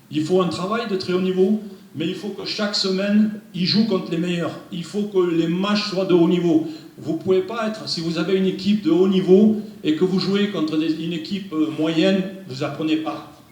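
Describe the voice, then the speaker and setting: There is noticeable background noise and audible room echo around this man. He talks at a moderate pace with a high pitch and fairly even intonation. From France. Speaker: football technical director. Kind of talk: presentation. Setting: meeting room without microphone.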